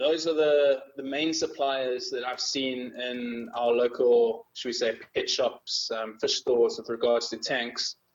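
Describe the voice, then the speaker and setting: A man speaks with a South African accent. His delivery is fairly slow, with hardly any pauses. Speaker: magazine editor. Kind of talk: interview.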